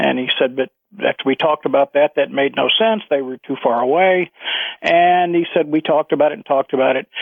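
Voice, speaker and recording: A man with an American accent and a plain, everyday voice, fairly high in pitch, with ordinary pitch variation and a fairly quick pace. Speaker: caller, retired aerospace engineer. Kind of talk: radio call-in, storytelling. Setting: phone call.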